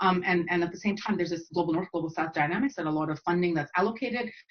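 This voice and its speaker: Against noticeable background noise, a woman talks very fast in a fairly low voice with ordinary pitch variation. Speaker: academic geographer. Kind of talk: panel Q&A answer. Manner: hesitant, many fillers.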